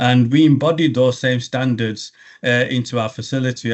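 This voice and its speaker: A man with a strong English accent speaks at a moderate pace in a medium pitch, keeping his intonation fairly even. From England. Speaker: logistics regional director. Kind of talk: business interview. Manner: halting, many fillers and restarts.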